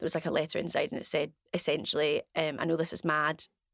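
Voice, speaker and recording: A woman with a Glaswegian accent is heard in a very clean recording with a silent background and dry, close sound with no echo. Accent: Glaswegian Scottish. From Scotland, Glasgow West End. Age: 30s. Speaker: business owner, former diving instructor. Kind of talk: casual interview, personal story.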